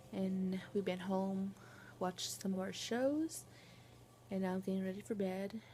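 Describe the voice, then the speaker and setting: Soft-spoken and somewhat breathy, a woman with a dark, mellow tone talks at a fairly slow pace. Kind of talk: casual vlog.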